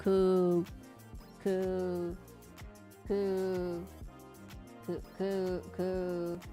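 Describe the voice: Over clear music in the background, a soft-spoken, female-sounding voice at a medium pitch performs a put-on character voice.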